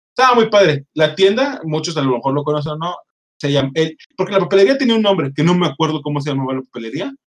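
Here a man talks in a fairly high pitch. It is an unremarkable speaking voice. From Mexico, Monterrey. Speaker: podcast host. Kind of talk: casual chat.

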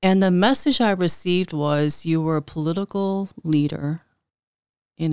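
This woman has an unremarkable speaking voice with an American accent, fairly low in pitch and with ordinary pitch variation. She talks at a moderate pace, and the sound is dry and close with no echo. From Chicago, north side (Filipino American family). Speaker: life coach and entrepreneur. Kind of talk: casual interview.

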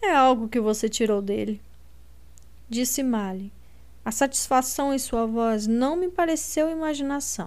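A woman's fairly high, dramatic voice with lively intonation and long, frequent pauses. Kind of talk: literary audiobook reading, first-person narration of Lina with dialogue. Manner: dramatic, expressive narration; shifts tone for each character's lines.

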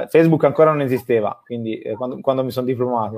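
With fairly even intonation, this man talks in an unremarkable speaking voice. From Tuscany, Italy. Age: 30s. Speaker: company manager and online business student. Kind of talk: interview on a live stream.

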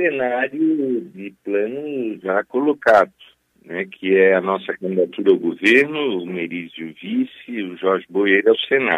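The pace is fairly slow. The intonation is lively. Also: man, medium pitch for a man. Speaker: politician, gubernatorial candidate. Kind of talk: radio interview. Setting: phone call while travelling. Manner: hesitant, many filler sounds. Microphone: mobile phone line.

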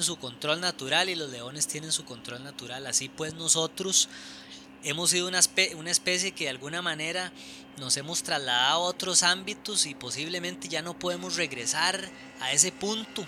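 Noticeable background noise behind a moderate pace and ordinary pitch variation. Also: man. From Costa Rica, Alajuela. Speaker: architect and writer. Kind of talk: casual chat. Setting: at home. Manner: halting.

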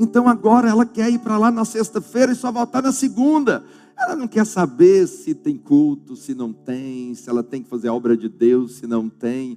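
A man's high-pitched voice at a moderate pace with hardly any pauses, very wide pitch swings and big swings in loudness. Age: 50s. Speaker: pastor. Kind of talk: sermon. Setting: church.

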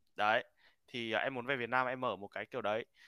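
The sound is dry and close with no echo as a man of medium pitch speaks at a fairly quick pace in a bright, sharp tone. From Vietnam. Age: 20s. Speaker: graduate student studying in the US. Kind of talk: casual chat.

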